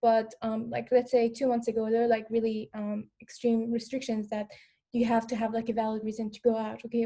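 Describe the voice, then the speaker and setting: A woman with a fairly high pitch talks at a fairly quick pace, her dark, mellow tone somewhat breathy and her intonation monotone and flat. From Afghanistan. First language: non-English. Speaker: former refugee panelist. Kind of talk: panel discussion. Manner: hesitant, many fillers.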